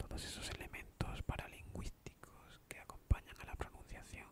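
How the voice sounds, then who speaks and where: Very slow whispering from a man. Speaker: ASMR video maker. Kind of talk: casual talk to camera. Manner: soft-spoken, whispered. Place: home room. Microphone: studio mic.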